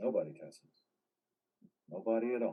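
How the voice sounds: A put-on character voice with a husky, rough edge, lively intonation and a moderate pace.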